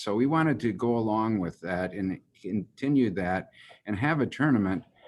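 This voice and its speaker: The speaker has a Midwestern US accent and a fairly slow pace. The recording is very clean, with a silent background. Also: man. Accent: US Midwest. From Germany, raised in Michigan from age four. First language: German. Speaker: golf executive. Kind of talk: interview. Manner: halting, many fillers.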